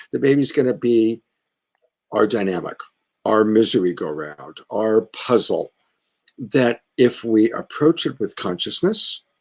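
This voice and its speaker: A man's medium-pitched voice with vocal fry and very wide pitch swings, dry and close with no echo, on a very clean recording with a silent background. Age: 60s. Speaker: love coach, show host. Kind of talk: casual chat. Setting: live stream.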